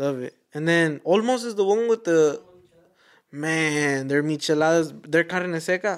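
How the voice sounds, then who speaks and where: A man with an American accent has a normal speaking voice, fairly high in pitch with ordinary pitch variation. He talks at a fairly slow pace with big swings in loudness. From Fort Worth, Texas. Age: 20s. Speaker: photographer and videographer. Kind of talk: casual podcast chat. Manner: casual slangy, says bro often.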